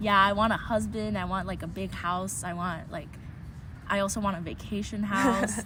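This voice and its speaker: A woman with an American accent speaks at a moderate pace amid noticeable background noise and audible room echo. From Taiwan, from age five after early childhood in New York. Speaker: interviewee sharing childhood memories. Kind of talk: casual interview.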